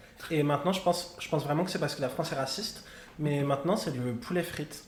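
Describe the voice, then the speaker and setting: Through noticeable background noise and audible room echo, a man talks very fast at a fairly high pitch with ordinary pitch variation. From Morocco. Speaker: drag queen. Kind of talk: casual chat. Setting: live event with audience.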